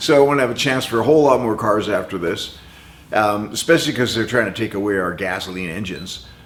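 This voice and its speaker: A man talks at a very fast pace with lively intonation. The audio carries audible room echo and noticeable background noise. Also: fairly low pitch for a man. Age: 70s. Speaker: car restoration hobbyist. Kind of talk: casual tutorial. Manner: casual, conversational.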